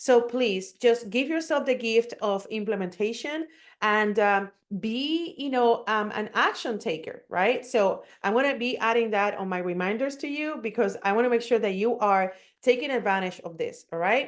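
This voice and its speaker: A woman talks at a moderate pace in a fairly high pitch with ordinary pitch variation over a quiet background. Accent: Puerto Rican. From Puerto Rico. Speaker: digital marketing coach. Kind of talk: webinar presentation. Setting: online webinar.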